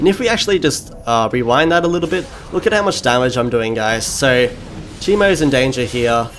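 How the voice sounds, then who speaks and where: A man speaks at a medium pitch and a fairly quick pace, with lively intonation and very even loudness. Noticeable background noise runs under his voice. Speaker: gaming commentator. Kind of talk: gameplay commentary. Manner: fast; casual with frequent fillers.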